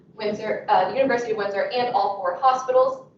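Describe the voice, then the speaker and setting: Amid audible room echo and noticeable background noise, a woman talks at a fairly quick pace. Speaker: nursing student researcher. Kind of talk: conference presentation.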